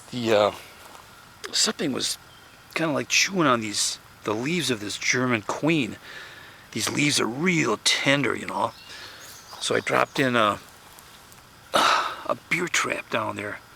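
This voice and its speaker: A man of medium pitch speaks at a fairly slow pace with long, frequent pauses against noticeable background noise. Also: lively intonation. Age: 70s. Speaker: home gardener. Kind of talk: casual tutorial. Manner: halting, many fillers and repeats.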